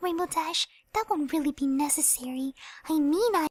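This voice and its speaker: Squeaky and very even in loudness, this put-on character voice keeps a moderate pace and ordinary pitch variation, with a dry, close sound and no echo. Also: woman, high pitch for a woman. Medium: read story. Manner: soft, timid.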